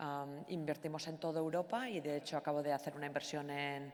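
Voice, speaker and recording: A woman speaks at a fairly quick pace in a Basque accent. Her pitch is very deep and low for a woman, and room echo is audible. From Basque Country, Spain. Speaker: venture capital investor. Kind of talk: panel discussion. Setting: stage with audience. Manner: hesitant, many fillers.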